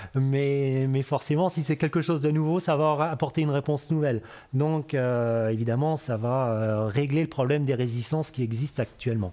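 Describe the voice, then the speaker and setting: A man's dark, mellow tone holds very even loudness at a moderate pace, with ordinary pitch variation. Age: 50s. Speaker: cereal farmer. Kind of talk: interview testimony. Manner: hesitant, many filler sounds. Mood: calm, friendly. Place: farm machine.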